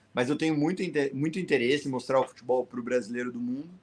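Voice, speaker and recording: Rattling off words at a very fast pace, the man speaks in a fairly high pitch. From Paraná, southern Brazil. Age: 30s. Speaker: world traveller. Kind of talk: podcast interview.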